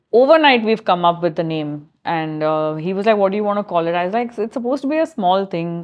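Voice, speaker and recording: At a very fast pace, a woman with a medium pitch talks with lively intonation. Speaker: chef and food business founder. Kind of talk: interview conversation.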